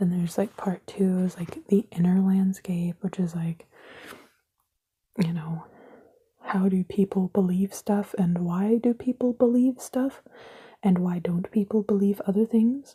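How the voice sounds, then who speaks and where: Soft-spoken delivery at a fairly slow pace, broken by long, frequent pauses. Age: 20s. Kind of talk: casual ASMR ramble to camera.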